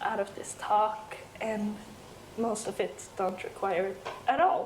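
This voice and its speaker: A woman talks with a European accent. Background noise is noticeable, and room echo is audible. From Sweden. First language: Swedish. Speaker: software developer and conference speaker. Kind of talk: conference talk. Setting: stage with audience. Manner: animated.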